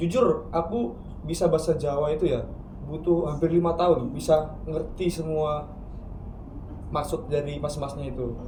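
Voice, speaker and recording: With a North Sumatran accent, a man at a fairly high pitch talks at a moderate pace with ordinary pitch variation and long, frequent pauses, amid noticeable background noise and audible room echo. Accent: Batak accent when speaking Javanese. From Surabaya, Indonesia, of Batak parents. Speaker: university student. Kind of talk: casual podcast chat.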